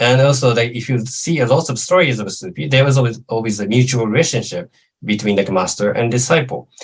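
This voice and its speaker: A man's somewhat breathy, medium-pitched voice with a Japanese accent, very fast pace and ordinary pitch variation. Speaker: lecturer on Islamic studies. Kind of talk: lecture Q&A answer. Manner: halting, many fillers.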